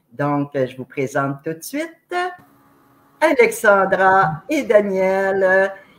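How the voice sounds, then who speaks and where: With music in the background, a woman with a Quebec accent speaks very slowly at a medium pitch, leaving long, frequent pauses, her loudness swinging widely and her pitch swinging very widely. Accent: Québécois French. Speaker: online show host. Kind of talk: interview introduction. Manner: very expressive.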